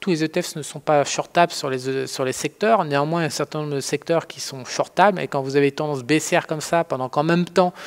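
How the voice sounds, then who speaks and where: Speaking at a fairly quick pace in a strong French accent, the voice comes through on a very clean recording with a silent background. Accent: strong French accent in English words. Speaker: trading educator. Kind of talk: tutorial. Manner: halting, many fillers; casual.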